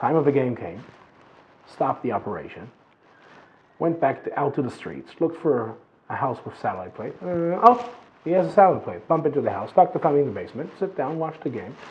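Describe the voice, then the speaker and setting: A man with an American accent talks at a very fast pace, at a fairly high pitch with vocal fry. His pitch swings very widely, his loudness swings a lot, and long, frequent pauses break up his speech. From Israel, Jerusalem. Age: 20s. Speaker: former soldier. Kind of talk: interview testimony.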